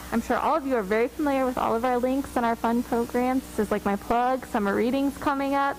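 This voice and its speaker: Over noticeable background noise, a woman talks at a very fast pace in a fairly high voice. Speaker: librarian. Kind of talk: presentation. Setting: council meeting. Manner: loud; animated.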